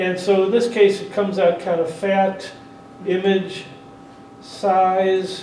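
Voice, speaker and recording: A loud voice at a very slow pace, with audible room echo and noticeable background noise. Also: man. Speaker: 3D photography workshop presenter. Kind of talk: workshop tutorial with live demonstration. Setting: convention workshop room with audience; PA system. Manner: casual, with frequent hesitations.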